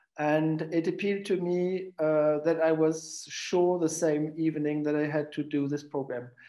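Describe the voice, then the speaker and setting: The speaker has a German accent and a fairly slow pace. The intonation is monotone and flat. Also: man. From Germany. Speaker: coach, program alumnus. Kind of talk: personal introduction in webinar. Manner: halting.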